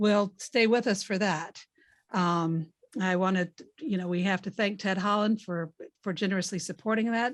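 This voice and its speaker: A woman with a Southern US accent and ordinary pitch variation, against a quiet background. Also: medium pitch for a woman, moderate pace. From US South. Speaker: contest organizer and event host. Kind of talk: event introduction.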